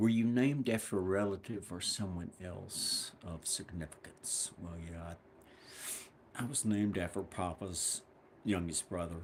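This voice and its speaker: This man has a very deep, low voice and an American accent. He speaks at a fairly slow pace with ordinary pitch variation. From US South, South Carolina. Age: 60s. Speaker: woodworker and channel owner. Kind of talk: casual monologue. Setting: woodshop. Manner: halting.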